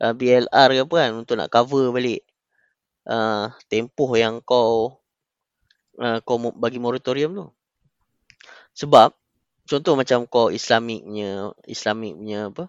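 Very slowly and with long, frequent pauses, the man talks in a medium pitch that varies in an ordinary way. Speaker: podcast guest. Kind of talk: casual chat.

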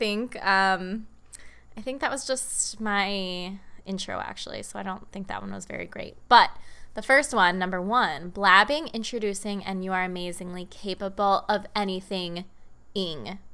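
Her medium-pitched voice has a bright, sharp tone and an animated delivery at a fairly slow pace. The woman's loudness swings widely, on a very clean recording with a silent background. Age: 20s. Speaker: podcast host and coach. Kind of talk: casual solo podcast monologue. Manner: animated, chatty, rambling; enthusiastic, affectionate.

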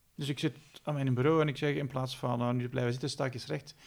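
A somewhat breathy man at a medium pitch, speaking at a very fast pace with ordinary pitch variation. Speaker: podcast host. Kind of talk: interview.

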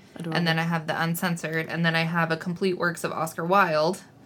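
Noticeable background noise sits behind this woman's voice. She speaks at a fairly low pitch and a fairly quick pace. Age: 30s. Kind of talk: casual chat.

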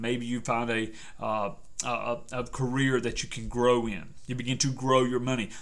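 A man talks at a medium pitch, and audible room echo surrounds his voice. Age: 40s. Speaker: persuasion coach and podcast host. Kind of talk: solo motivational podcast monologue.

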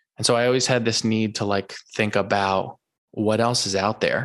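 Against a quiet background, a man with an American accent speaks in an ordinary speaking voice of medium pitch and fairly even intonation. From US Northeast. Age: 30s. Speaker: finance podcaster and investor. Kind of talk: casual interview.

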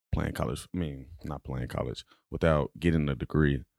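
With an American accent, a man speaks in a very deep, low pitch and a dark, mellow tone, his intonation fairly even and the sound dry and close with no echo on a very clean recording with a silent background. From Dallas, Texas. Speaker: college football player and student. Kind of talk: interview. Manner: halting.

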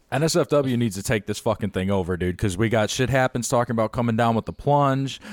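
With an American accent and an ordinary speaking voice, a man talks at a fairly quick pace and medium pitch, in a very clean recording with a silent background and a dry, close sound with no echo. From Chicago. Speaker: podcast host. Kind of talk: casual chat.

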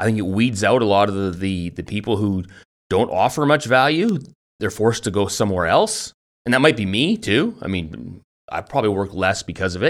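A man with an ordinary speaking voice, fairly low in pitch, lively in intonation and moderate in pace, on a very clean recording with a silent background. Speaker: podcast host. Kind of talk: casual banter then interview. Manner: joking, playful.

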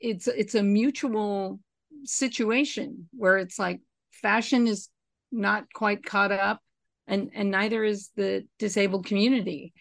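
A woman with a plain, everyday voice speaks fairly slowly at medium pitch with ordinary pitch variation. The background is quiet. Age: 50s. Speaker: costume designer. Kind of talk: casual interview chat.

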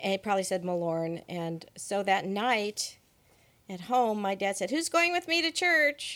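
A woman with an American accent, at a fairly slow pace, with very wide pitch swings. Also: medium pitch for a woman. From US West Coast, Monterey Peninsula. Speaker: church member. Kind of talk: interview.

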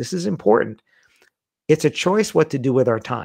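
Over a quiet background, the speaker talks at a fairly quick pace with ordinary pitch variation and a New York accent. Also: man. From US, Queens, New York. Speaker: wedding industry speaker and author. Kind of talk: casual chat.

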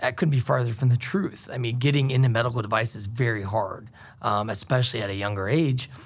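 This man talks at a very fast pace, his pitch medium with ordinary variation. His voice is somewhat breathy. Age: 30s. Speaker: medical device sales rep. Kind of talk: interview. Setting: studio. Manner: hesitant, many fillers.

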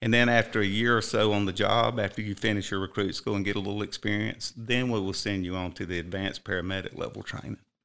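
The voice races at a very fast pace with hardly any pauses, in a Southern US accent. Its tone is bright and sharp, and the intonation stays fairly even. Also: man, fairly low pitch for a man. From South Carolina. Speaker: fire chief. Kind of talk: interview. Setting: studio.

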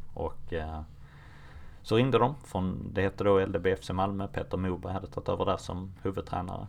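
Very deep, low male voice, fairly brisk delivery, ordinary rise and fall in pitch. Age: 30s. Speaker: football coach. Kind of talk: interview.

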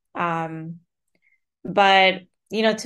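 With a Spanish accent, a woman talks at a medium pitch against a quiet background. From Colombia (Bogota). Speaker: author and writing professor. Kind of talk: interview conversation.

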